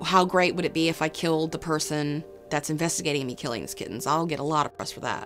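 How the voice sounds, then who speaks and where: Against clear background music, a woman speaks at a fairly low pitch with ordinary pitch variation. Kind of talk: interview answer. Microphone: lapel.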